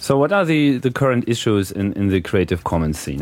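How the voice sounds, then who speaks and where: A man with a German accent talks at a fairly quick pace and medium pitch. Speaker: podcast host. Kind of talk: interview. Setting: live at a hacker conference. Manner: hesitant, many fillers.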